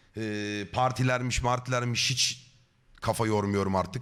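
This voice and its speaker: Here a man speaks in an animated tone at a medium pitch. His pace is moderate, with ordinary pitch variation. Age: 30s. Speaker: streamer. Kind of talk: live stream chat.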